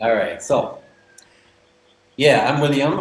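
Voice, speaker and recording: Audible room echo paired with noticeable background noise. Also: man. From northern England, Manchester. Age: 40s. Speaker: expat guest. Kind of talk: interview. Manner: animated.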